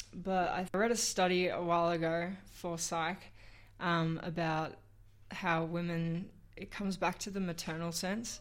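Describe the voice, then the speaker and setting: A woman with an Australian accent talks at a moderate pace in a fairly low pitch, her intonation monotone and flat. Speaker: fundraiser. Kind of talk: casual chat. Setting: radio studio.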